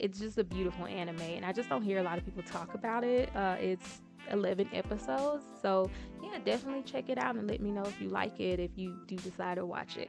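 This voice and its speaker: With music in the background, a woman speaks in a Southern US accent at a medium pitch. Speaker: anime reviewer. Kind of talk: casual talk to camera.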